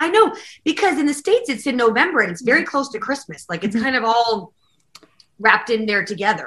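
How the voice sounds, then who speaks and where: A woman with a western Canadian accent rushes along at a very fast pace, her high-pitched, bright, sharp voice swinging very widely in pitch. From Calgary, Alberta, Canada. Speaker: country singer-songwriter and pianist. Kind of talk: casual interview chat.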